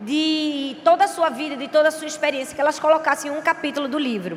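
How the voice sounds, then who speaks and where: With a strong northeastern Brazilian accent, a high-pitched woman speaks in an animated tone over noticeable background noise. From Brazilian Northeast. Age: 30s. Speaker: pastor. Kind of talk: sermon; casual talk to audience. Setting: stage with audience.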